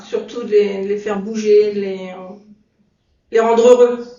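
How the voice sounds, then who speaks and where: A woman's fairly high-pitched voice at a fairly slow pace, with audible room echo. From France, Sarthe. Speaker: adapted physical activity instructor. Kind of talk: interview.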